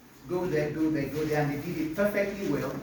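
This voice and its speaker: With audible room echo and noticeable background noise, a man speaks at a fairly quick pace. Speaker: biology teacher. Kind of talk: testimony. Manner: loud.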